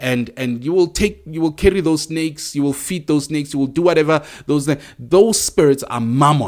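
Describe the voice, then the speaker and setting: A man talks with lively intonation on a very clean recording with a silent background. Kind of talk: monologue teaching. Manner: hesitant, many fillers.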